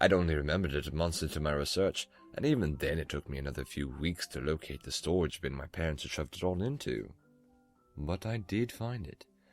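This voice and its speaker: Music plays under a man with a very deep, low pitch. He speaks fairly quickly with lively intonation. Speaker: narrator of scary stories. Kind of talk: horror story narration.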